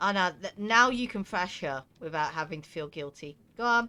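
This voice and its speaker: A woman with a medium-pitched voice speaks at a fairly slow pace in a relaxed tone that is also bright and sharp, with lively intonation. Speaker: video game streamer. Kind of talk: casual gaming livestream commentary. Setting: live stream on Twitch. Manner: chatty, relaxed.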